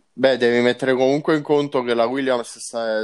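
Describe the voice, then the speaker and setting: With flat, monotone intonation, a man talks at a medium pitch. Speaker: motorsport journalist. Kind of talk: casual chat.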